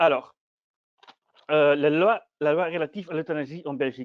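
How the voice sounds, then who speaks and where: Someone with a non-native accent speaks at a fairly quick pace. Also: man. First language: not French (speaking French). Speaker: PhD student presenting research. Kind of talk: academic conference talk. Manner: halting, many hesitations and repetitions.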